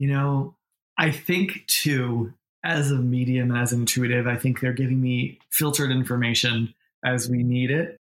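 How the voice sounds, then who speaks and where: A man with a plain, everyday voice and an American accent speaks at a medium pitch and moderate pace, with very even loudness and fairly even intonation. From New York. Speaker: medium and intuitive business coach. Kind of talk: casual interview chat.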